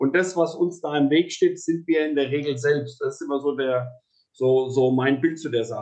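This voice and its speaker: His pace is moderate. The man's pitch shows ordinary variation. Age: 40s. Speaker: podcast host, horse mediator. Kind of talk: interview. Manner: halting, many repetitions and fillers.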